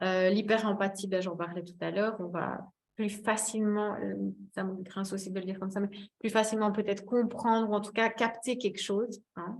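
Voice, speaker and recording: Moderately paced speech from a woman, with monotone, flat intonation. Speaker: wellbeing therapist giving a talk. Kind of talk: webinar presentation. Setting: online webinar. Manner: hesitant, many fillers.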